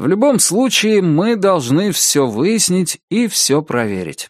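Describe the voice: Using a put-on character voice, a woman speaks slowly at a fairly low pitch with big pitch swings in a very clean recording with a silent background.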